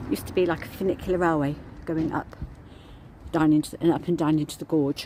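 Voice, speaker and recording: A woman mumbles at a fairly quick pace. Her pitch is very deep and low. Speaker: vlogger, walking tour guide. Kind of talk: walking tour vlog. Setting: outdoors, walking. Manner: mumbling.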